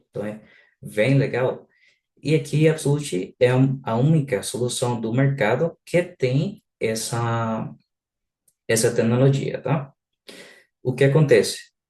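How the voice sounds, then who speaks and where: With a non-native accent and a dark, mellow, somewhat breathy tone, a man speaks at a fairly slow pace with long, frequent pauses and ordinary pitch variation. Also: medium pitch for a man. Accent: noticeable foreign accent in Portuguese. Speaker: software product specialist. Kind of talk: live webinar product presentation. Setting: online live session. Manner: halting, many filler sounds.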